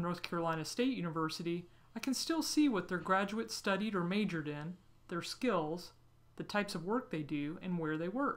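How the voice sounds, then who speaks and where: With a plain, everyday voice, a woman talks at a fairly quick pace in a medium pitch with lively intonation. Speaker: career guidance company executive. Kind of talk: tutorial.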